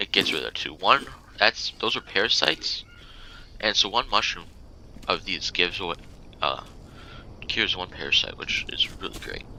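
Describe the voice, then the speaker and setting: A soft-spoken man talks at a moderate pace. He leaves long, frequent pauses. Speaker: gaming youtuber. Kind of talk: tutorial. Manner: casual, halting.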